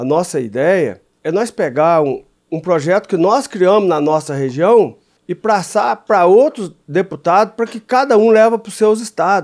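A high-pitched man at a moderate pace, his pitch swinging very widely. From southern Minas Gerais, Brazil. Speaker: congressman and farmer. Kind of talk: radio interview. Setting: radio studio.

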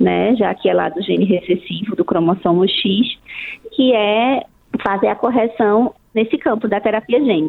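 A woman speaks at a moderate pace in a fairly high voice. Noticeable background noise runs behind her. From Brazil, outside Brasília. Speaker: ophthalmologist. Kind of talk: radio interview.

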